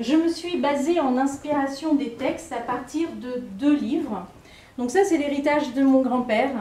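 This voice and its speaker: A high-pitched woman, fairly slow, with ordinary pitch variation, amid audible room echo and noticeable background noise. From Réunion. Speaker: poet and writing workshop leader. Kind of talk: poetry performance introduction. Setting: library event with audience. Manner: halting.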